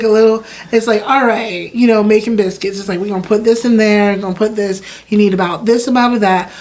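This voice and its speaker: A woman with an American accent talks at a fairly quick pace, her pitch fairly high, over noticeable background noise. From US South, Wilmington, North Carolina. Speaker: chef and food business owner. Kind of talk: interview conversation. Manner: animated.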